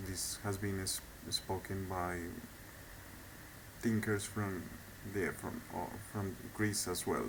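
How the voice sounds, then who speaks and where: Fairly low in pitch, a man speaks with a non-native accent and fairly even intonation. Room echo is audible. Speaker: video blogger. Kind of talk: monologue lecture. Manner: halting; hesitant with repetitions.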